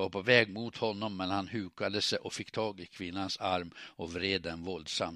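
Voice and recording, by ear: A natural voice reading something aloud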